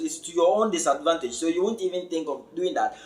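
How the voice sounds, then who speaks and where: Noticeable background noise sits behind this man's voice. He speaks at a high pitch with lively intonation. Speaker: crypto educator. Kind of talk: lecture. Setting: online webinar.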